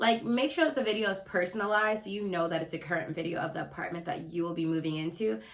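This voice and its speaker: Against noticeable background noise, a woman speaks very fast with hardly any pauses, her fairly low voice full of lively intonation. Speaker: lifestyle YouTuber. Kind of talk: casual vlog tips. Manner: animated.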